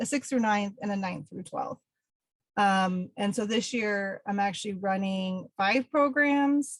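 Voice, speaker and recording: In a dry, close recording with no echo, a woman with an American accent speaks fairly slowly, her fairly high, somewhat breathy voice showing ordinary pitch variation. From Pennsylvania. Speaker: environmental educator. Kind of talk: webinar presentation. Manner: many filler ums.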